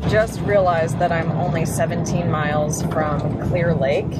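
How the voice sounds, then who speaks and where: Loud background noise fills the clip. Over it, a woman talks at a moderate pace. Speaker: scuba vlogger. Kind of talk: casual vlog chat. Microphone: phone near.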